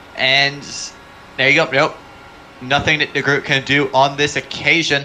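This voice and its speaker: A man's fairly high voice at a moderate pace, very even in loudness, over noticeable background noise. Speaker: sim racing commentator. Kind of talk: live commentary. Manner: animated.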